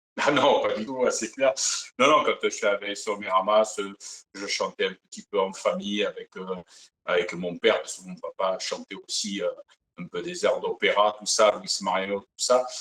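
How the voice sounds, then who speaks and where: Big swings in loudness from a man speaking at a moderate pace. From Provence, southern France. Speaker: singer, Elvis impersonator. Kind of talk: interview. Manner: hesitant, many fillers.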